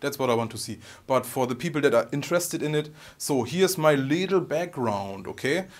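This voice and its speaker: A man speaks with a strong German accent. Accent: heavy German. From Germany. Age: 30s. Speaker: guitar YouTuber. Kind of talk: vlog Q&A monologue. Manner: halting.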